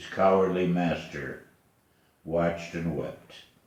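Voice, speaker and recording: A man speaks at a fairly slow pace in a very deep, low pitch. Room echo can be heard around his voice. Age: 80s+. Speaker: poet. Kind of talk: poetry reading.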